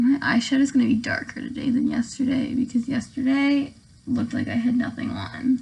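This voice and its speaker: Over music in the background, a woman talks in a high pitch with monotone, flat intonation. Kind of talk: casual get-ready-with-me talk to camera. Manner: calm.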